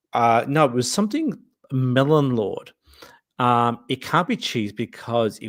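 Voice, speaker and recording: A man with an Australian accent talks in a medium pitch on a very clean recording where the background is silent. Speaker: livestream host. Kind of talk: casual chat. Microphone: new microphone.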